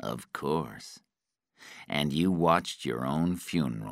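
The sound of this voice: On a very clean recording with a silent background, a man performs a put-on character voice at extremely low pitch, slow in pace but lively in intonation.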